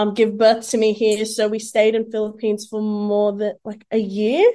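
Speaking in an Australian accent, a woman keeps a moderate pace and a fairly high pitch with monotone, flat intonation against a quiet background. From Sydney, Greater Western (Mount Druitt). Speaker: social media influencer. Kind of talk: interview. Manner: hesitant with many fillers.

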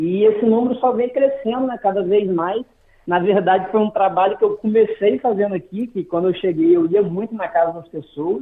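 High-pitched male voice, moderate in pace, with ordinary pitch variation. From Brazil, Macaé, Rio de Janeiro state. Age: 30s. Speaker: barber. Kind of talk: interview. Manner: halting, many repetitions.

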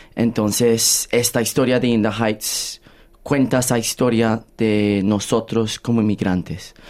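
With monotone, flat intonation, a man delivers his words at a fairly slow pace. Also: medium pitch for a man, very even loudness. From Australia, Colombian-born. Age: 20s. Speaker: musical theatre actor. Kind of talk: interview. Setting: studio.

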